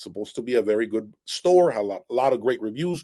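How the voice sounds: A man's fast, lively speech at a medium pitch, dark and mellow in tone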